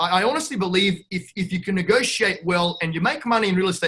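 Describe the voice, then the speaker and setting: A man with a high pitch, a bright, sharp tone and a fairly quick pace. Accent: Australian. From Australia. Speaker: real estate investor. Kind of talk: podcast interview. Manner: animated, brash.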